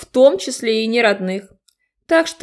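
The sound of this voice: The reading voice is unforced. Behind it, the background stays quiet.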